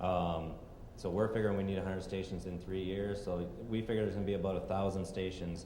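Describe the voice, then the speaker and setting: Over noticeable background noise and audible room echo, a man with a very deep, low pitch speaks at a very fast pace in a monotone, flat delivery. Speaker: energy company executive. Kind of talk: conference presentation.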